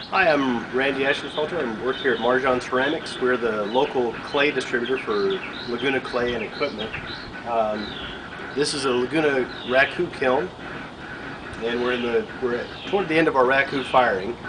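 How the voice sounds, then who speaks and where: With noticeable background noise behind him, a man talks at a moderate pace with ordinary pitch variation and long, frequent pauses. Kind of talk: tutorial. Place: workshop. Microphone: camera far.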